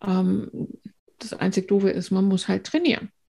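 Over a very clean recording with a silent background, a woman speaks very slowly at a medium pitch, her dark, mellow tone somewhat breathy and her intonation fairly even. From northern Germany, near Bremen. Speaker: trauma therapist. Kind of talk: interview.

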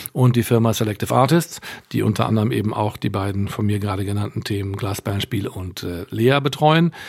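A man's fairly low voice, an ordinary speaking voice, at a fairly quick pace with lively intonation. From Westphalia, Germany (Münster). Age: 60s. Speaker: concert promoter and booking agency owner. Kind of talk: interview.

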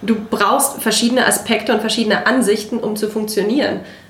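A woman speaks at a moderate pace in a fairly high, monotone voice with flat intonation. Noticeable background noise runs behind her. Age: 30s. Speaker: political volunteer and office manager. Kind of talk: casual chat.

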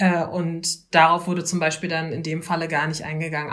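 A woman with a fairly low voice speaks at a moderate pace in a monotone, flat intonation. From Berlin, Germany. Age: 20s. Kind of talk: interview.

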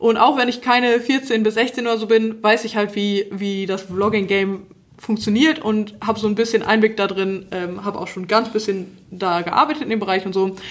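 The delivery keeps a moderate pace. Pauses are almost absent. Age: 20s. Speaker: podcast host. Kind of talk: casual chat.

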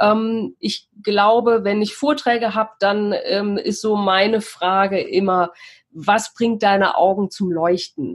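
Very slow speech from a woman at a medium pitch. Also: ordinary pitch variation. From Cologne, Germany. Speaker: mindfulness mentor and astrologer. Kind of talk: interview. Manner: hesitant with frequent fillers.

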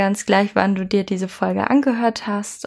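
A woman's medium-pitched voice at a fairly slow pace, in a very clean recording with a silent background. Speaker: life coach. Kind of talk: podcast monologue. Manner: hesitant, many fillers.

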